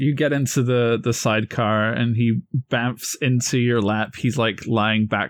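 A natural voice reads the text aloud. Its intonation stays fairly even.

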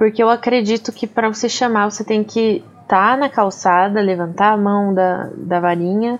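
A woman with an unremarkable speaking voice talks at a moderate pace with hardly any pauses, her fairly high pitch carried on fairly even intonation. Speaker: podcast co-host. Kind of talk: casual chat.

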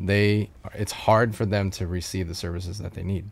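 With an American accent, a man speaks in an unremarkable speaking voice at a fairly low pitch and a moderate pace. His pitch variation is ordinary, and the recording is very clean with a silent background. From US Midwest and Colorado. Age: 30s. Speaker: nonprofit founder. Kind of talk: casual interview. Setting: camper studio.

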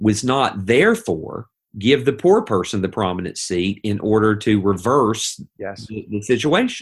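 Speaking with an Appalachian accent, a man uses lively intonation at a fairly low pitch and a fairly slow pace. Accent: Appalachian Southern US. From US South, East Tennessee. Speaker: pastor. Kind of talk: podcast discussion.

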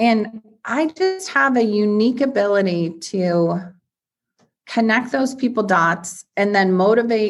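Speaking at a very slow pace, a woman with a medium pitch uses lively intonation. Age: 50s. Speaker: serial entrepreneur and investor. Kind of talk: interview conversation.

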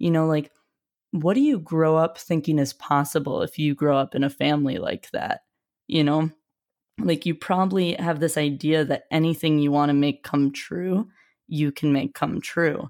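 A woman with an American accent speaks in a very deep, low voice at a moderate pace. Her intonation stays fairly even, and the recording is very clean with a silent background. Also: very even loudness. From US Midwest (Wisconsin and Ohio). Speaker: YouTuber and college admissions coach. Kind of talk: casual interview.

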